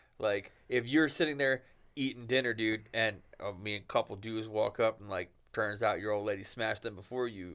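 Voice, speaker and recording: A man speaks at a fairly quick pace in a fairly low pitch. It is an ordinary speaking voice with fairly even intonation. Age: 30s. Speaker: podcast co-host. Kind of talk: casual chat.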